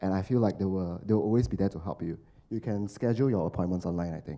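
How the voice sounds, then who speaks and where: The man's voice has a dark, mellow tone and ordinary pitch variation. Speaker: marketing professional, recent alumnus; panelist. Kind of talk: panel discussion. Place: hall. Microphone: handheld.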